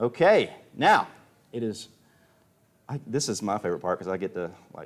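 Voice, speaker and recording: Speaking at a moderate pace with a Southern US accent, a man with a fairly low pitch uses ordinary pitch variation and an animated tone. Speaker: auctioneer. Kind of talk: live auction commentary. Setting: livestream.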